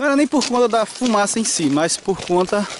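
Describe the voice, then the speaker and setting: There is light background noise as a man speaks in a dry sound with no echo. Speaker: hiking trail guide. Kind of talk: casual vlog commentary. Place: open country. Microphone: phone near.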